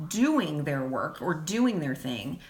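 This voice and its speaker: A woman speaks with very wide pitch swings. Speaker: podcast host and lifestyle blogger. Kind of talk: casual live Q&A chat. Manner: fast; chatty with many fillers.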